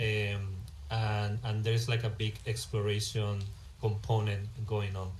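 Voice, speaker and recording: A man with a Spanish accent talks in a medium pitch, somewhat breathy, with audible room echo around him. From Spain. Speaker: game developer. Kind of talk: live stream commentary. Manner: halting.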